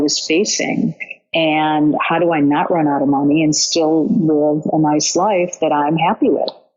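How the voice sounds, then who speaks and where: A woman's very deep, low voice with fairly even intonation at a fairly slow pace, music in the background. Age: 60s. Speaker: coaching client. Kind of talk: casual chat.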